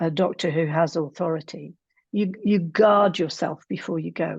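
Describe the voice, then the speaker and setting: Fairly even intonation marks a plain, everyday voice at a moderate pace. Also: woman. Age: 60s. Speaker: psychotherapist and relationship coach. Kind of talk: interview conversation.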